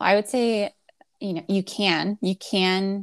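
With a plain, everyday voice, a woman at medium pitch speaks at a fairly slow pace, recorded very cleanly against a silent background with a dry, close sound and no echo. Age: 20s. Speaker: career coach. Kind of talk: casual chat.

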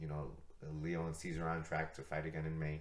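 A man with a very deep, low pitch talks at a very fast pace, with audible room echo around him. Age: 30s. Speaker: martial arts coach and podcast host. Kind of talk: casual chat.

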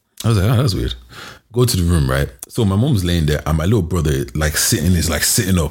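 A man with a London accent speaks very fast in a very deep, low pitch with vocal fry, lively intonation and very even loudness. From Nigeria (Yoruba), raised in London. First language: Yoruba. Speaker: podcast co-host. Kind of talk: casual chat.

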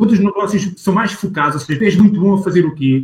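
A man talks at a fairly quick pace in a high-pitched voice. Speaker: sales professional and business owner. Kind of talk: casual interview. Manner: animated.

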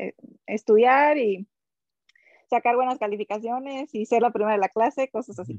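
With a strong Mexican accent, a woman speaks at a moderate pace and fairly high pitch, leaving long, frequent pauses. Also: fairly even intonation. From Mexico, Sinaloa. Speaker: elite triathlete. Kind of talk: casual interview.

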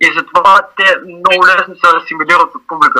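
The voice belongs to a man. It is recorded dry and close, without any echo. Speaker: graffiti artist. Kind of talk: interview. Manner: halting.

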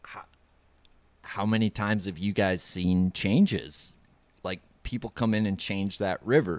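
The background is silent on this very clean recording. A man talks at a moderate pace. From Minnesota. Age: 30s. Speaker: podcast host. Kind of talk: read-out ad; casual chat. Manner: animated.

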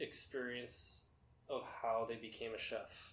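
A man's medium-pitched voice at a fairly slow pace. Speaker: chef and cooking content creator. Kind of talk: casual interview chat. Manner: nervous at first.

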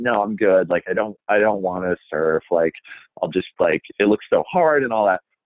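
A man with an American accent in a normal speaking voice, lively intonation and a moderate pace. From Minnesota, Minneapolis suburbs. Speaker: TV host. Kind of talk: interview.

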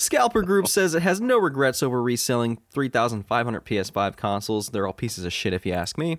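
On a very clean recording with a silent background, a man at medium pitch talks at a fairly quick pace with lively intonation. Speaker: gaming news podcast host. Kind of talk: casual chat. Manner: animated.

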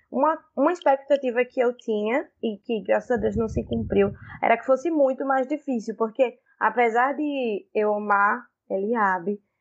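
An unremarkable speaking voice: a woman, fairly high in pitch, at a moderate pace with ordinary pitch variation. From Pernambuco, Brazil. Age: 20s. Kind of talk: casual chat.

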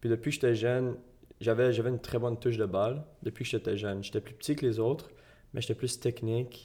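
At a very fast pace, a man speaks in a dark, mellow, somewhat breathy voice with fairly even intonation, recorded very cleanly over a silent background. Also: medium pitch for a man. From Quebec, Gatineau. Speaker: soccer player. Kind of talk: interview.

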